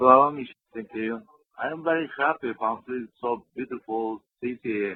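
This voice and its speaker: A man with a Central Asian accent and big swings in loudness. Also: medium pitch for a man, ordinary pitch variation, moderate pace. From Kyrgyzstan. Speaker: film director. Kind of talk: radio interview. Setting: phone call. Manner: halting, non-fluent English.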